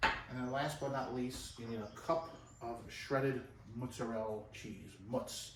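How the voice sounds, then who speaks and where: Amid noticeable background noise and audible room echo, a man talks at medium pitch. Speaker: cooking show host and actor. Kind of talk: cooking tutorial. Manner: fast; casual, chatty.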